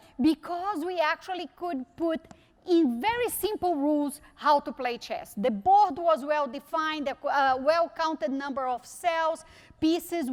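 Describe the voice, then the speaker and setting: A woman talks with a Brazilian Portuguese accent. Her pitch is extremely high. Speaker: technology executive. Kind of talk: conference keynote talk. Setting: stage with audience.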